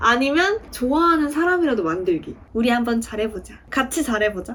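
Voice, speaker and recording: Over noticeable background noise, a woman talks at a moderate pace in a high pitch with very wide pitch swings. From Daegu, South Korea. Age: 20s. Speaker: aspiring actor. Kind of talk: interview answer.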